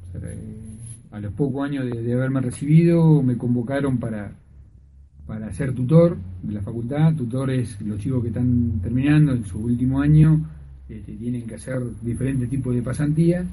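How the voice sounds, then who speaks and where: A man with a medium-pitched, somewhat breathy voice and a dark, mellow tone talks at a moderate pace, his loudness swinging widely, with audible room echo. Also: lively intonation. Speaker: veterinarian and university tutor. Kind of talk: radio interview.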